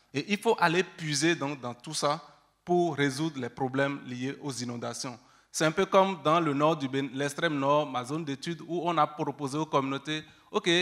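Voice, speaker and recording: In a plain, everyday voice, a man with a fairly high pitch talks at a moderate pace, with ordinary pitch variation and big swings in loudness. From Benin. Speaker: researcher. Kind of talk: panel discussion.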